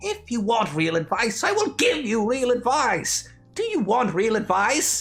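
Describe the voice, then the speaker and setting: A put-on character voice with a fairly high pitch moves at a moderate pace over faint music in the background. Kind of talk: comedic audio drama roleplay. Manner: angry, shouting, insulting.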